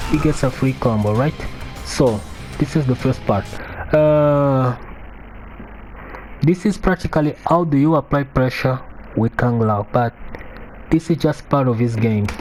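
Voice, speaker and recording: Over music in the background, a man speaks at a fairly slow pace with long, frequent pauses, a medium pitch, ordinary pitch variation and very even loudness. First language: not English. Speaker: fighting game player. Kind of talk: tutorial. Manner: halting.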